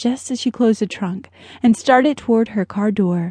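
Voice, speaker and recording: The voice is somewhat breathy and moves at a moderate pace. The background is quiet. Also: woman. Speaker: audiobook narrator. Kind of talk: dramatic audiobook narration of a thriller. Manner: suspenseful, tense, measured pacing building to panic.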